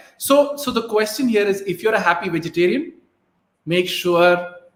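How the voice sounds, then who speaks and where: A man with a Keralan accent at a moderate pace, ordinary pitch variation. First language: Malayalam. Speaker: motivational talk show host. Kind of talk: live stream Q&A. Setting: live stream on Facebook and YouTube.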